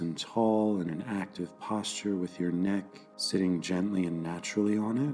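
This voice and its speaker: Over music in the background, a man with a very deep, low pitch speaks in a calm tone at a fairly slow pace, his intonation fairly even. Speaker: meditation guide. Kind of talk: guided meditation. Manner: calm, slow.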